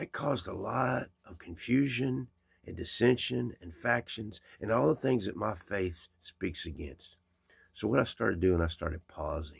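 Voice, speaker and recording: In a very clean recording with a silent background, a man with a fairly low pitch and a somewhat breathy voice speaks at a fairly slow pace, his tone animated and his intonation lively. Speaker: vlogger. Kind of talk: casual monologue.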